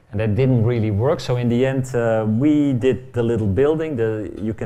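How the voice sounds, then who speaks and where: In a room with audible echo, a man with a Dutch accent speaks in a dark, mellow tone with ordinary pitch variation. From Netherlands. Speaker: architect. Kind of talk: lecture. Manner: fast; halting.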